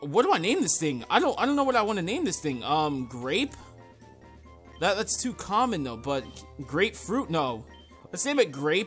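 Faint background music under a man speaking at a moderate pace with long, frequent pauses. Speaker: gameplay commentator. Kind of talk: casual gaming commentary. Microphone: studio mic.

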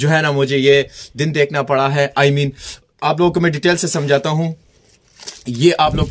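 A man talks in a fairly high pitch with monotone, flat intonation. His speech has long, frequent pauses. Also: moderate pace. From Pakistan. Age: 20s. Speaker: vlogger; travel vlogger. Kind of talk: travel vlog. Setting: outdoors.

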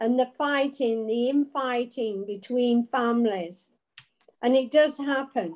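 The background is quiet as a woman speaks. Her pitch is high and her pace very slow. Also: ordinary pitch variation. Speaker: Bible study participant. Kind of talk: group discussion. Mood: reflective, earnest. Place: home room. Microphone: video call.

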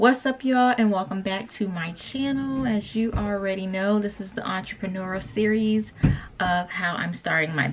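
A woman's pitch shifts in an ordinary way over light background noise. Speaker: small business owner vlogger. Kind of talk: casual vlog chat. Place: home room. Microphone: camera far.

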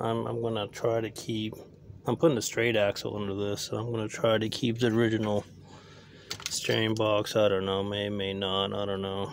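A man with a fairly low voice speaks at a moderate pace in monotone, flat intonation. The sound is dry with no echo, with light background noise. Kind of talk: casual vlog chat. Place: open country. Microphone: phone near.

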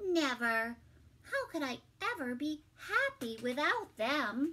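A woman's high, put-on character voice, bright and sharp in tone, with big pitch swings and a slow pace

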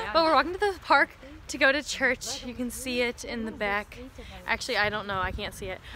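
Over noticeable background noise, a woman talks fairly quickly in a high pitch with lively intonation. Her loudness swings widely, and the sound is dry with no echo. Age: young. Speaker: college student and vlogger. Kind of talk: casual vlog talk to camera. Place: street. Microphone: phone near.

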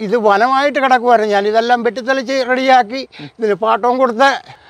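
This man has a high-pitched voice with ordinary pitch variation, heard in a dry sound with no echo. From Kerala, India. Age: 60s. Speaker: farmer. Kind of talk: news interview testimony. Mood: upset, aggrieved. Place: farm. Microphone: lapel.

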